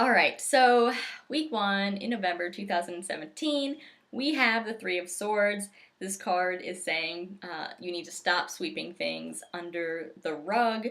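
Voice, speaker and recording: A woman speaks at a fairly slow pace with a medium pitch. Her intonation is lively. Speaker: tarot reader. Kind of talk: tarot forecast monologue. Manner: casual, lighthearted.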